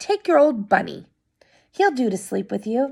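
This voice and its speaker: Using a put-on character voice, a woman speaks at a high pitch and moderate pace, her raspy voice swinging very widely in pitch. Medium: read story. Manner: brisk.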